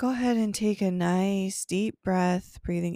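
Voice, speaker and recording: A woman speaks at medium pitch with a dark, mellow tone. Her pace is fairly slow, on a very clean recording with a silent background. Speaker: yoga teacher and meditation guide. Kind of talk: guided meditation, calm and unhurried, soothing instructions with pauses for breathing. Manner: slow, soft-spoken; gentle, soothing, measured.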